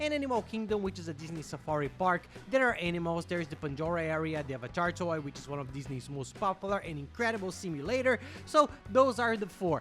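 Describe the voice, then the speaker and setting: An enthusiastic tone comes through at a very fast pace, with music in the background. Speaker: travel vlogger. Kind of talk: travel tips talk to camera.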